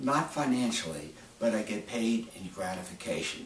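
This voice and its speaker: Noticeable background noise and audible room echo fill the clip. The talking goes at a fairly slow pace. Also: man. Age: 70s. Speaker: medical doctor. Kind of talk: promotional monologue. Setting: doctor's office.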